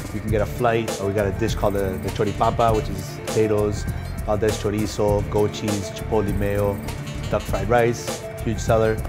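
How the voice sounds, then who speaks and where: A man talks fairly quickly while clear music plays behind him. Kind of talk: interview answer. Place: bar.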